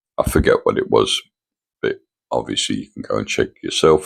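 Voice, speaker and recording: A man is speaking. He has an English accent. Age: 70s. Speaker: vlogger. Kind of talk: casual vlog monologue. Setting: at home in condo. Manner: halting.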